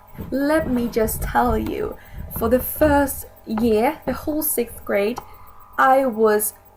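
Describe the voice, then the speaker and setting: A woman talks at a high pitch and a very slow pace, with ordinary pitch variation. Music plays in the background. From Sweden. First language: Swedish. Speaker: video blogger. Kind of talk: casual vlog talk.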